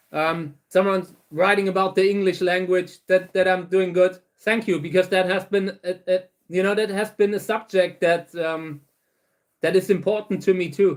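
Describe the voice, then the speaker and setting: This man talks at a moderate pace with a German accent and a high pitch. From Saarland, Germany. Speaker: cactus breeder. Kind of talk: livestream Q&A chat. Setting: livestream. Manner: halting, many fillers and repeats.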